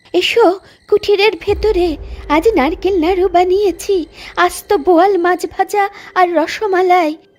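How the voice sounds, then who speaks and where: In a cartoonish character voice, a female-sounding speaker talks at a fairly slow pace with an extremely high pitch. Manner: honeyed, falsely kind.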